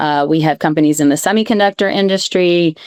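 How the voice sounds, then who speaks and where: Speaking at a moderate pace, a woman with an American accent shows ordinary pitch variation. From US, New York. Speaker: venture capital investor. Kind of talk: panel discussion. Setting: live event panel.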